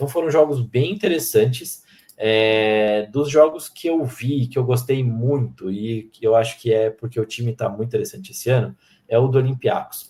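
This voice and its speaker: Somewhat breathy, a man speaks at medium pitch with a dark, mellow tone. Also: ordinary pitch variation, moderate pace. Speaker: sports podcast host. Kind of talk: casual podcast chat.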